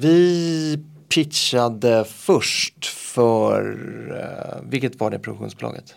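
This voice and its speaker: The man talks very slowly. His volume rises and falls dramatically. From Gothenburg, Sweden. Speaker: magician. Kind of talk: casual chat.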